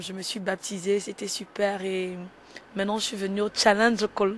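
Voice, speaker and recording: A woman speaks at a moderate pace with a flat, monotone intonation. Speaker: church member. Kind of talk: testimony. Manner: halting.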